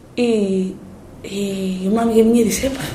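A woman speaks in a space with audible room echo. Noticeable background noise can be heard as well. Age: 30s. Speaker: singer-songwriter and filmmaker. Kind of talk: interview.

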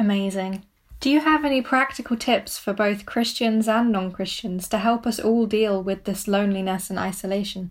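On a very clean recording with a silent background, a woman talks in an ordinary speaking voice at a medium pitch and moderate pace. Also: ordinary pitch variation. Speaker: student podcast host. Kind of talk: interview questions, moderated.

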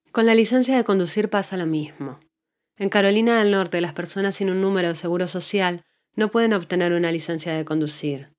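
A woman's plain, everyday voice, medium in pitch with ordinary pitch variation and a fairly quick pace, on a very clean recording with a silent background. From Argentina. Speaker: podcast host and journalist. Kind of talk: scripted narration.

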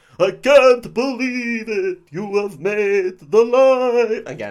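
A man's put-on character voice at an extremely high pitch, delivered at a very slow pace. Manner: overacted, dramatic.

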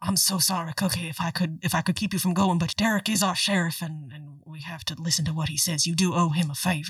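In a put-on character voice at middle pitch, the speaker moves at a fairly quick pace with hardly any pauses. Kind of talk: melodramatic romance. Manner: stiff, formal, solemn.

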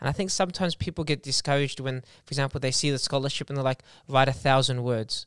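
Very fast speech comes from a man with an Australian accent, pitched at a medium level with fairly even intonation. The recording is very clean with a silent background, dry and close with no echo. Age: 20s. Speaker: podcast host. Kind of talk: casual chat.

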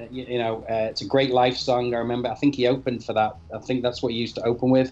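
Speaking very fast in a Mancunian accent, the man has a medium pitch and a monotone, flat intonation. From Manchester, northern England. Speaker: podcast guest, album reviewer. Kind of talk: casual chat.

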